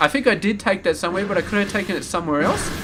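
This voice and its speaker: A high-pitched man with an Australian accent and lively intonation, music playing in the background. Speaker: game commentator. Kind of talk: live game commentary. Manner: rambling casual.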